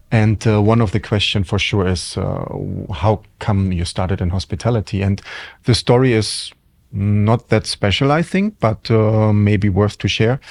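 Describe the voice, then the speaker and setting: A man with a German accent speaks at a moderate pace in a fairly low pitch with ordinary pitch variation. The recording is very clean, with a silent background. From Germany. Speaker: hotel general manager. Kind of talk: interview. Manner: hesitant, many fillers.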